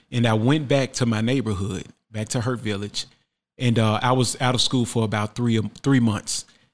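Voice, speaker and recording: This man has a plain, everyday voice at a medium pitch, with fairly even intonation and a moderate pace. The recording is very clean, with a silent background. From Memphis, Tennessee (US South). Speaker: artist. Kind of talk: interview storytelling. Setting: studio.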